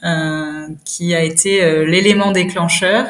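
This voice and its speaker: A woman talks very slowly, with audible room echo and noticeable background noise around her. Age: 30s. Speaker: cosmetics brand founder. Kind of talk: interview. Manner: hesitant, many fillers.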